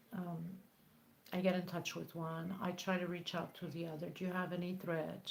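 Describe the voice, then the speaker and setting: Somewhat breathy and at medium pitch, a woman speaks at a moderate pace with audible room echo. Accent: non-native. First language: not English. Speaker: crochet tutorial creator. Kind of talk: live stream chat. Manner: halting.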